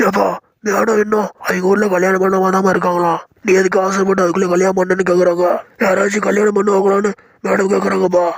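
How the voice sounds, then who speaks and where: A man puts on a cartoonish character voice, pitched high and delivered with monotone, flat intonation. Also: moderate pace. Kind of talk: comic village dialect. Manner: teasing, chatty, ends lines with "pa".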